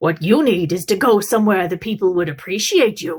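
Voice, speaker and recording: A woman performs a growling, put-on character voice at a medium pitch and a fairly quick pace. The recording is very clean, with a silent background. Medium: read story. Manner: mock-genteel, coarse.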